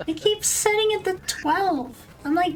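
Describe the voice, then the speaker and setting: Very slowly and with ordinary pitch variation, a woman speaks over noticeable background noise. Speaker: streamer. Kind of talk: casual chat. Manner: animated. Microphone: too quiet, mic level reset to twelve.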